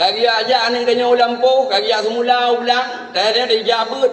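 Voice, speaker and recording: Against noticeable background noise, a man with an Acehnese accent speaks at an extremely high pitch. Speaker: Islamic preacher. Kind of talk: humorous sermon. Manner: relaxed, jokey.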